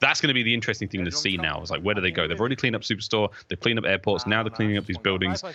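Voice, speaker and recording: An animated man with a British accent talks very fast at a fairly low pitch, with hardly any pauses. His pitch varies in an ordinary way. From Britain. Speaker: esports commentator. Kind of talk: live commentary.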